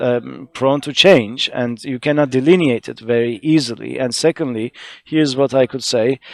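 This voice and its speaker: The speaker talks with an Arabic accent. Pitch varies in an ordinary way. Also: man. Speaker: conference panelist, researcher. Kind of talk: conference presentation. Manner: halting, many fillers.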